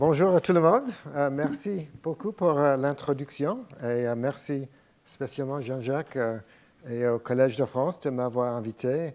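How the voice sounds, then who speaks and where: The speaker talks at a fairly slow pace with an English accent. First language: English (speaking French). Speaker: invited professor, evolutionary biologist. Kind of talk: lecture. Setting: lecture hall with audience. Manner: halting, searching for words.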